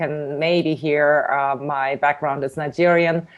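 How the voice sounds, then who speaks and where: A woman speaks with a German accent at a moderate pace. Her intonation stays fairly even against a quiet background. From Germany. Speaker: tech company CEO. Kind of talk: interview. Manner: halting, many fillers.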